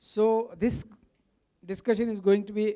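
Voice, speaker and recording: With a Marathi accent, a man talks at a fairly slow pace in a dark, mellow tone. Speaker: movement founder, summit speaker. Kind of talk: speech at a summit. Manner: code-switching Hindi and English.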